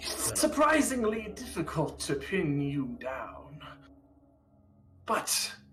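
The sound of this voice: The speaker is a man using a put-on character voice. He goes along at a very slow pace.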